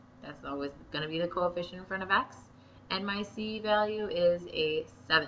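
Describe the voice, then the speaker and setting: A woman talks while noticeable noise carries on in the background. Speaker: math teacher. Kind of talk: tutorial.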